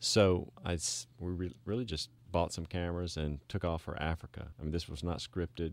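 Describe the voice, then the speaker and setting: Fairly quick, fairly evenly intoned speech in a Southern US accent, with hardly any pauses and a very clean recording over a silent background. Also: man. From Mississippi. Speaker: preventive medicine doctor and documentary filmmaker. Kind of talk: radio interview.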